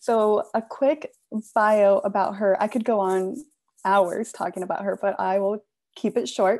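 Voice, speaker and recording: A woman speaks in an ordinary speaking voice. She goes at a fairly slow pace with ordinary pitch variation. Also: medium pitch for a woman. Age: 20s. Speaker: executive assistant, recent graduate. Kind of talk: presentation. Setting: video call.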